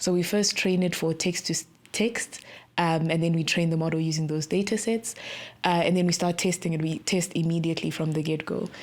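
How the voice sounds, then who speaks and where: Fairly quick speech from a woman in a Zimbabwean accent, fairly low in pitch, with fairly even intonation and very even loudness, on a very clean recording with a silent background. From South Africa (born in Zimbabwe). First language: Shona. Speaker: tech startup co-founder. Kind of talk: podcast interview.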